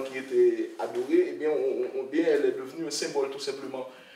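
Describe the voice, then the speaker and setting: Light background noise and audible room echo accompany a man's voice. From Haiti. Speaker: author, researcher. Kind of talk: academic discussion. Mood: calm, reflective, hesitant pauses. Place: meeting room. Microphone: podium.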